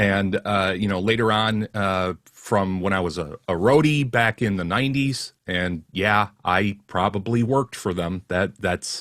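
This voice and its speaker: A man with an American accent and a normal speaking voice, fairly low in pitch, at a fairly slow pace with hardly any pauses and ordinary pitch variation. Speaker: voiceover artist. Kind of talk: interview answer.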